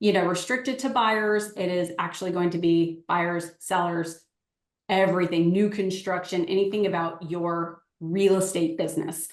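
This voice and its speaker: With a fairly low pitch and fairly even intonation, a woman talks at a moderate pace in an unremarkable speaking voice. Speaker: real estate agent and coach. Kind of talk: webinar sales pitch. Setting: live webinar.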